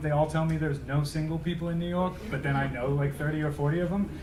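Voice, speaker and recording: The speech has fairly even intonation and audible room echo. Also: man. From Australia, Melbourne. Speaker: tech executive. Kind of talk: lecture. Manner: fast; casual.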